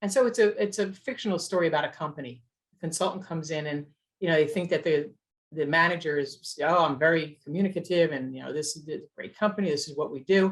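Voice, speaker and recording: A woman with an American accent, fairly low-pitched, at a fairly quick pace with lively intonation. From US East Coast. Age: 60s. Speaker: communications consultant, CEO. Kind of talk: interview conversation. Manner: fast.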